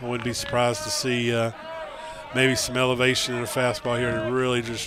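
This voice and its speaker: Noticeable background noise surrounds a man who speaks at a fairly quick pace in a medium pitch with monotone, flat intonation. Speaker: baseball color commentator. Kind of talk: live sports commentary. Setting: broadcast booth.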